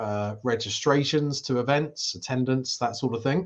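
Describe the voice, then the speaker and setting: A man speaks at a fairly slow pace with a British accent. His intonation stays fairly even. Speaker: event industry show host. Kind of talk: live interview. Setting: live stream.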